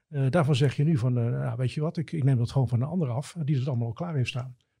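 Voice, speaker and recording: Very fast and somewhat breathy, a man speaks with a fairly high pitch, a dark, mellow tone and ordinary pitch variation. The recording is very clean, with a silent background. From Netherlands, Gouda. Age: 50s. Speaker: cloud IT expert. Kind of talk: interview.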